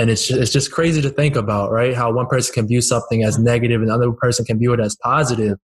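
Very fast and somewhat breathy, a man speaks with fairly even intonation and very even loudness. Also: medium pitch for a man. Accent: American. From Northern Virginia, US. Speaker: podcast host. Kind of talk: casual interview.

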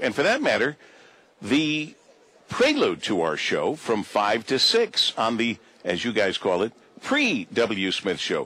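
A man with an American accent speaks at a fairly slow pace. His pitch swings very widely. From Michigan. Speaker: morning radio host. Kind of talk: radio interview. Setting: radio broadcast.

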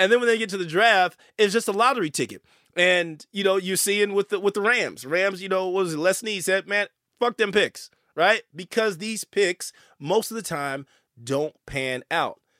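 Raised and projected, a man's high-pitched voice has a bright, sharp tone and ordinary pitch variation, in a very clean recording with a silent background and a dry, close sound with no echo. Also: moderate pace. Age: 40s. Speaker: sports podcast host. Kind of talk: casual sports talk. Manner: animated.

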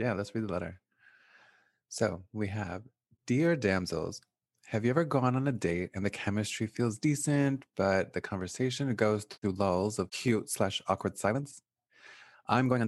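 A man speaks at a moderate pace and fairly low pitch, with ordinary pitch variation, against a quiet background. He has a plain, everyday voice. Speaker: podcast host. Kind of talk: casual chat.

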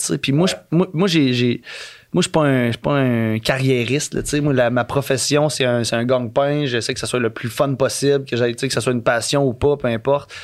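A man's medium-pitched voice in a Quebec accent at a moderate pace, in a very clean recording with a silent background. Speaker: podcast guest. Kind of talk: casual chat. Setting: studio.

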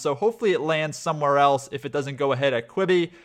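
Talking at a very fast pace, a man speaks with an American accent. His pitch is fairly high, with ordinary pitch variation. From Florida, US. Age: 20s. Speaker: podcast host. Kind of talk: casual interview; scripted intro narration.

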